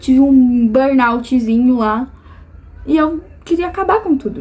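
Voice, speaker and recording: With ordinary pitch variation, a woman's voice sits at a high pitch. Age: 20s. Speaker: vlogger. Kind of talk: personal vlog monologue.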